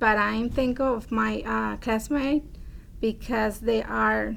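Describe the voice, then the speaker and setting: The voice is a woman's, in a Spanish accent. She talks very slowly. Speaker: adult education student. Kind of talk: testimony. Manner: halting.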